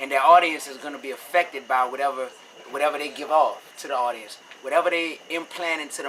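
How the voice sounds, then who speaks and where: Amid noticeable background noise, a man with a New Orleans accent talks at a very fast pace in a fairly high pitch with fairly even intonation. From New Orleans, Louisiana, US South. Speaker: rapper. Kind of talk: interview. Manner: casual, conversational.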